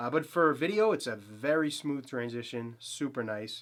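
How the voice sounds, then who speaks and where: This man speaks with a Boston accent on a very clean recording with a silent background. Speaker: photography YouTuber. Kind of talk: gear review. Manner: casual, filler-heavy; enthusiastic.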